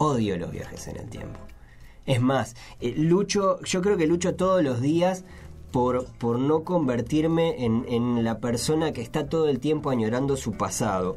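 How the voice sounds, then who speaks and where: Lively intonation and a fairly slow pace mark this speaker with a Uruguayan accent, heard over noticeable background noise. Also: man, medium pitch for a man. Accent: Rioplatense Spanish (Uruguayan). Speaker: podcast host. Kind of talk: casual chat. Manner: halting, frequent repetitions.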